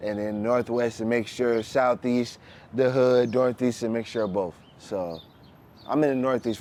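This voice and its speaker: A man speaks at a moderate pace. His pitch sits at a medium level. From Canton, Ohio, US Midwest. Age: 30s. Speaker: hip-hop artist and mail carrier. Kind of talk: casual interview. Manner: halting at times due to multiple sclerosis.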